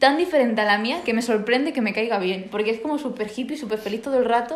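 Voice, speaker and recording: A woman's fairly high voice at a very fast pace, ordinary pitch variation, audible room echo and noticeable background noise. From Spain, small village. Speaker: podcast host. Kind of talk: casual chat. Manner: energetic.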